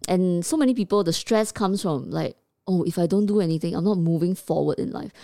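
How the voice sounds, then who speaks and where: In a Singaporean accent, a woman speaks at a very fast pace with a medium pitch, ordinary pitch variation and a dark, mellow tone. The recording is very clean, with a silent background. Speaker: podcast co-host. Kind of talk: casual chat.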